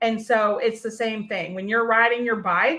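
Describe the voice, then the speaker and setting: In an American accent, a woman with a bright, sharp tone speaks at a fairly high pitch over a quiet background. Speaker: podcast host and workshop coach. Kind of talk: live-streamed workshop talk. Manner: casual, with many fillers.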